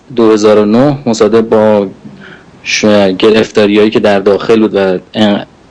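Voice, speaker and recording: Talking at a moderate pace with long, frequent pauses, the voice stays monotone and flat, its loudness very even. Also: man. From Iran, Qom. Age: 30s. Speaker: political activist. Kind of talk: political address.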